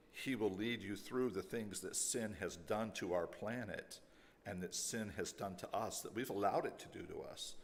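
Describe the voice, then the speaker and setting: A man speaks in a fairly low pitch with ordinary pitch variation. Audible room echo surrounds his voice. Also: moderate pace. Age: 60s. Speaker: pastor. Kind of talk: closing remarks to congregation.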